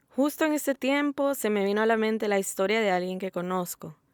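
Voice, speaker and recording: A woman with a Salvadoran accent speaks at a fairly quick pace and a fairly high pitch, with lively intonation. The very clean recording has a silent background and a dry, close sound with no echo. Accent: Salvadoran accent, now speaking it normally. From El Salvador. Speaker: podcast host. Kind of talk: solo podcast narration. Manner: neutral Spanish in intro, then natural accent.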